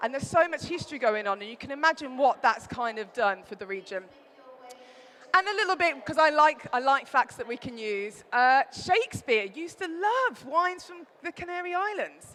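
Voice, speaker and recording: Here a woman speaks in a Birmingham accent with a high pitch. Her pitch swings very widely, and her loudness shifts a lot. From Birmingham, England. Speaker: wine writer and presenter. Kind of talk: trade show talk. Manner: fast.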